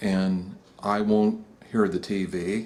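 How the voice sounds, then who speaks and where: Over noticeable background noise, a man speaks in a fairly low, monotone voice with flat intonation. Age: 60s. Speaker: graphic designer sharing personal story. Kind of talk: personal testimony monologue. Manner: halting, many fillers and false starts.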